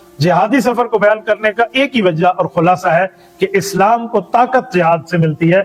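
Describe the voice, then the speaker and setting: A man speaks in a high pitch against noticeable background noise. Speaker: Islamic scholar / mufti. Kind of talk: religious sermon summarizing a Quran chapter.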